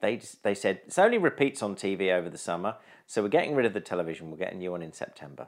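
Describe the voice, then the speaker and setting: This man talks in a southern English accent at a fairly low pitch. His intonation is lively. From southern England, East Sussex. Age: 40s. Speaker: improviser and radio producer. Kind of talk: casual interview chat.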